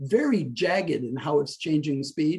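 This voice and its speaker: In a somewhat breathy, fairly high voice, a man speaks at a moderate pace. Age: 60s. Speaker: stress-reduction coach. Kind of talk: interview explaining a technique.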